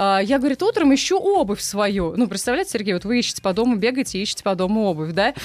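A woman talks at a very fast pace. There is noticeable background noise. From Russia, Saransk. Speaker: former radio news presenter. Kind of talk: casual chat. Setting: studio.

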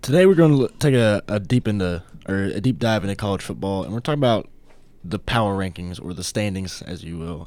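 Fairly low in pitch, a man with an unremarkable speaking voice talks at a fairly quick pace. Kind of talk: casual sports talk chat on a campus radio show. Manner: conversational, thoughtful, relaxed, filler-laden.

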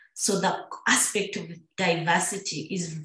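A woman with a medium pitch talks amid audible room echo. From Uganda, Busoga. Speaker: expat professional in development. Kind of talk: interview.

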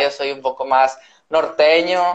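In a normal speaking voice, a man delivers his words with fairly even intonation. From northern Mexico, Reynosa, Tamaulipas. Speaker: doctor and science content creator. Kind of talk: casual chat. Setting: live video stream.

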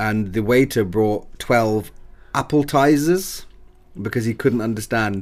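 A man talks at a fairly slow pace with ordinary pitch variation. He has a normal speaking voice. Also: medium pitch for a man. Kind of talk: casual chat.

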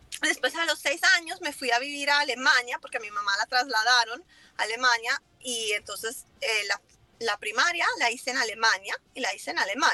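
At a moderate pace, a woman with a high voice and ordinary pitch variation speaks in a dry, close sound with no echo over noticeable background noise. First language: English (speaking Spanish). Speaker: lumber importer, business owner. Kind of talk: casual interview.

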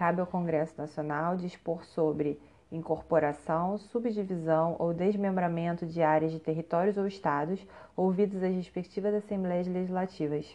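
Dark and mellow in tone, a woman speaks at a fairly low pitch with a Brazilian accent. She keeps a moderate pace and fairly even intonation. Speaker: narrator of legal text. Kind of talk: reading aloud of constitution text. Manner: formal.

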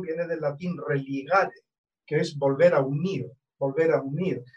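A man with an ordinary speaking voice talks at a moderate pace with a fairly high pitch. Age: 60s. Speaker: astrologer. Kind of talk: casual interview conversation.

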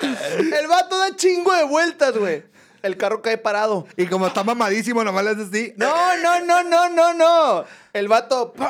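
An animated man's voice at an extremely high pitch, with very wide pitch swings and noticeable background noise. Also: fairly slow pace. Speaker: podcast host. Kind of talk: casual chat.

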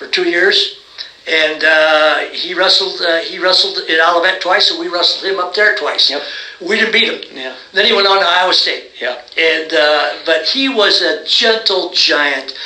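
A man's raised, projected voice in an American accent, high in pitch with ordinary pitch variation, at a fairly slow pace against noticeable background noise. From US Midwest (South Bend, Indiana). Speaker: retired college wrestling coach. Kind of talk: interview.

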